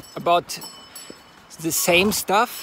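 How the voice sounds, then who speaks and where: Noticeable background noise sits behind a man with a German accent who talks at a high pitch with fairly even intonation. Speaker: horseman and folklore storyteller. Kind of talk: casual monologue. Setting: outdoors on horseback. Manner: halting.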